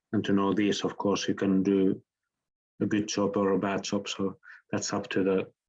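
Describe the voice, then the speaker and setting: This man has a fairly low pitch and a Finnish accent, speaking at a moderate pace. His intonation is monotone and flat, his loudness very even, and the background quiet. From southern Finland. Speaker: architect and professor. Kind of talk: lecture Q&A. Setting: online lecture.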